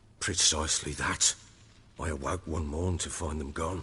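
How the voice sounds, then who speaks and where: A man puts on a character voice, very deep, low and raspy, in a monotone, flat delivery. He keeps a moderate pace over clear background noise. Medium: video game. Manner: gruff, coarse, blunt.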